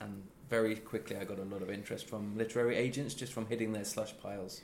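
Amid audible room echo, a man with an East Midlands accent speaks at a fairly quick pace in a fairly low pitch, his intonation fairly even. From East Midlands, England. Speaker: crime novelist. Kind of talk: interview. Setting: in person at a book festival.

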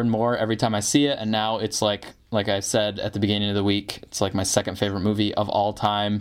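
A man with an American accent has an ordinary speaking voice and fairly low pitch, talking at a fairly quick pace. The recording is very clean, with a silent background. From northern Michigan, US. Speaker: podcast host and writer. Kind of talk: casual chat.

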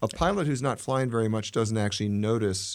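Here is a man with an unremarkable speaking voice and a fairly low pitch. He moves at a fairly quick pace with ordinary pitch variation, in a very clean recording with a silent background. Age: 60s. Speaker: private jet owner-pilot. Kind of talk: casual interview chat. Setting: studio.

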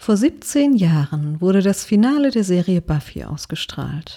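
A woman with a medium pitch, a dark, mellow tone and a somewhat breathy quality. Her pitch swings very widely, and the sound is dry and close with no echo. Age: 30s. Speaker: podcaster sharing personal story. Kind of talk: scripted personal narration.

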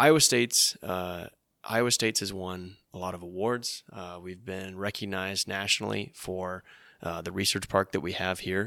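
A man with a very deep, low voice speaks at a moderate pace in a fairly even tone, his bright, sharp delivery swinging widely in loudness on a very clean recording with a silent background. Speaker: podcast host, intern. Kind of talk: casual interview.

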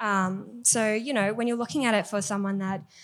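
A woman with a fairly high pitch keeps ordinary pitch variation and talks at a moderate pace. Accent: Australian. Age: 20s. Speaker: bartender. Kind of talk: panel discussion. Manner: soft-spoken.

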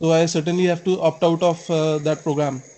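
A man with an Indian accent speaks at a high pitch and a moderate pace in a monotone, flat intonation. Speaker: caller, exam candidate. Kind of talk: call-in question. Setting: online call. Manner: halting.

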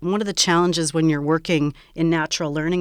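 This woman's voice is very deep and low, with fairly even intonation. She talks at a fairly quick pace. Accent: Canadian. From Saskatchewan, Canada. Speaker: professor and speech language pathologist. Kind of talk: interview.

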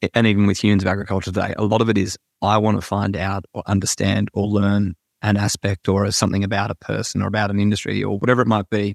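In an Australian accent, a man speaks very fast at a fairly low pitch, monotone and flat with vocal fry, the sound dry and close with no echo on a very clean recording with a silent background. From Australia, Sydney. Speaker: agriculture podcast host and ag tech worker. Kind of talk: interview conversation.

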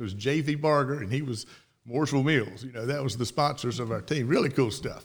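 Very fast speech with ordinary pitch variation comes through on a very clean recording with a silent background. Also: man, medium pitch for a man. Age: 60s. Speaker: former college quarterback. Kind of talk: interview. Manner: halting.

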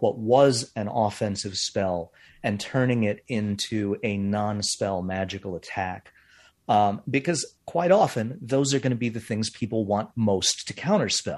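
Over a quiet background, a man with a plain, everyday voice of medium pitch talks at a fairly slow pace with ordinary pitch variation. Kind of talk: casual interview chat.

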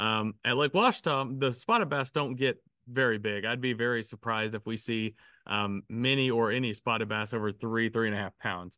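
A man with a Southern US accent, a medium pitch and a bright, sharp tone, at a moderate pace with fairly even intonation, in a dry, close sound with no echo and a quiet background. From Arkansas. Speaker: fishing podcast co-host. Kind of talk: casual chat.

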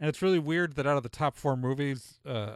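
A man speaks in an ordinary speaking voice. His pitch shows ordinary variation. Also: very clean recording, silent background. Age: 40s. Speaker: podcast host. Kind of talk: casual chat.

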